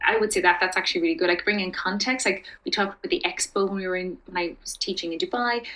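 Speaking at a very fast pace with hardly any pauses, a woman of medium pitch uses lively intonation in an Irish accent. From Ireland. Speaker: expat teacher and community founder. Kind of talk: casual interview chat.

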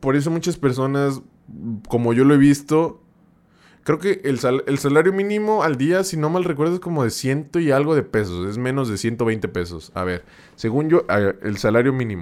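A man speaks at a moderate pace. His pitch moves in very wide swings. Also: fairly high pitch for a man. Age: 20s. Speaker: streamer and podcast host. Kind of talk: casual live-stream chat. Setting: live stream. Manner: animated, repetitive and halting.

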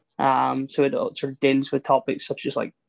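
With an Irish accent, a man talks at a fairly high pitch in a dry, close sound with no echo. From Ireland. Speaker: film podcast co-host. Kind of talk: casual chat.

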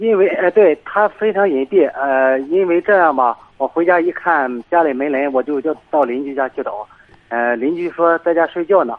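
A man with a fairly high pitch talks at a moderate pace, his pitch varying in an ordinary way. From Shandong (Gaotang, rural). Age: 30s. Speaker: caller. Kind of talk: phone-in advice call. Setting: phone call. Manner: soft-spoken. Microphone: too quiet, far from phone.

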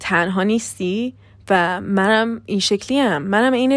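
Here a woman is speaking. The recording is very clean, with a silent background. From Iran. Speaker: podcaster. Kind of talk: casual monologue. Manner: fast.

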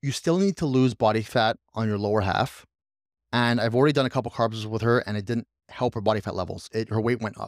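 On a very clean recording with a silent background and a dry, close sound with no echo, a man with an unremarkable speaking voice talks at a fairly quick pace with ordinary pitch variation. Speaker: podcast host and fitness coach. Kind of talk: casual chat.

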